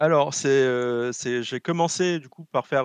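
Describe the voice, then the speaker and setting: A man talks at a medium pitch in a normal speaking voice. The sound is dry and close, with no echo. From French Guiana. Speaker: video game company logistics specialist. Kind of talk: casual chat.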